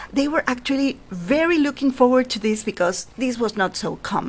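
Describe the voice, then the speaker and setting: A woman's high pitch in a Spanish accent, with very wide pitch swings at a moderate pace, over noticeable background noise. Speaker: storyteller. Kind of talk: storytelling for children. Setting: at home, online session. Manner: animated.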